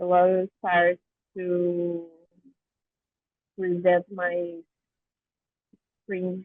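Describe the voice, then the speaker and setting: Very slowly and with long, frequent pauses, a woman with a Brazilian Portuguese accent speaks at a fairly low pitch in a monotone, flat intonation. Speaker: academic presenter. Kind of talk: academic presentation. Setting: video call from an airport.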